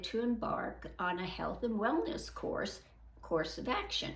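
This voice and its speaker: Spoken at a fairly slow pace, the voice carries audible room echo over noticeable background noise. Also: woman. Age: 80s+. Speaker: senior fitness vlogger. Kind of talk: reading aloud.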